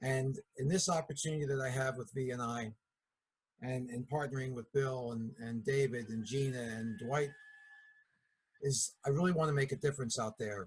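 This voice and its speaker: A man with a Philadelphia accent speaks at a moderate pace and a medium pitch, with ordinary pitch variation. His voice is somewhat breathy, and he leaves long, frequent pauses. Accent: Philadelphia accent, noticeable. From Philadelphia area, US. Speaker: network marketing distributor. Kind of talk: business meeting talk. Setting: video call.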